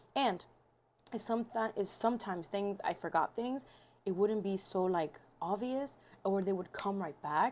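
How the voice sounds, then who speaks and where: A woman talks at a moderate pace with ordinary pitch variation and a medium pitch. The recording is very clean, with a silent background. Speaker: vlogger and author. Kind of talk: casual vlog chat. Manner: halting, rambling; mumbling.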